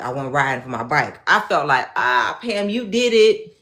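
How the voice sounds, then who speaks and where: With audible room echo, a woman speaks in an animated tone at a medium pitch. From Chicago, South Side. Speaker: faith speaker. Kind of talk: personal testimony.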